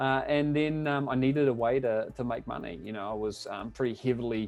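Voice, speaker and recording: Music plays in the background as someone speaks at a fairly quick pace with a New Zealand accent and ordinary pitch variation. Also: man, medium pitch for a man. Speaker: online business coach. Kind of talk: webinar presentation. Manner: hesitant, many fillers.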